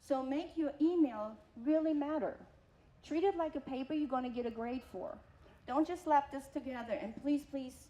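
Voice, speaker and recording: Noticeable background noise surrounds a woman with a non-native accent who speaks at a moderate pace in a high pitch with ordinary pitch variation. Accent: foreign. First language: not English. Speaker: college program coordinator and instructor. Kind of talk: workshop talk.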